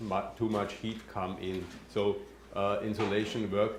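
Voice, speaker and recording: A man speaks at a moderate pace in a fairly low, flat monotone. Audible room echo and noticeable background noise fill the recording. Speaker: passive house building expert. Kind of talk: Q&A after a presentation. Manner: halting, many fillers.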